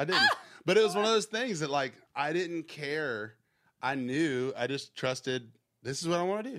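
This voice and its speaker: Over a silent background in a very clean recording, a man speaks with a Southern US accent at a moderate pace. His fairly high voice moves in very wide pitch swings. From US South, Georgia. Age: 30s. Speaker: music producer and songwriter. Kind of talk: casual interview chat.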